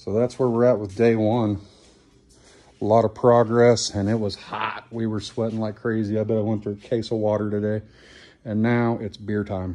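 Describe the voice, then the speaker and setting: This man's voice sits fairly low in pitch. He talks at a moderate pace with a flat, monotone intonation. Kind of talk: casual vlog chat. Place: garage. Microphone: phone near.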